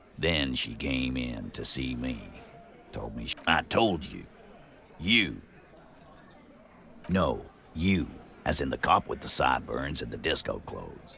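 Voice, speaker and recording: A man's put-on character voice, very deep and low, at a moderate pace amid clear background noise. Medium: video game. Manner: blunt, gruff.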